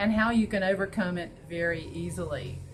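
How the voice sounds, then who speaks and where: A woman with a Southern US accent amid audible room echo. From US South (North Carolina). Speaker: school principal and interviewer. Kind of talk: interview.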